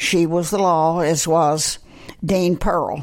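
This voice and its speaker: A woman with a Texan accent speaks in a fairly low pitch. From Texas, Amarillo. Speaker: college alumna. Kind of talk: interview.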